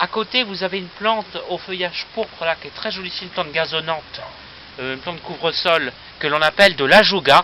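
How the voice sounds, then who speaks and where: Noticeable background noise behind a man's high voice at a moderate pace. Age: 20s. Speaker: aspiring plant nurseryman. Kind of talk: casual video presentation, guided tour. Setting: outdoors on a terrace. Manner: hesitant, many fillers.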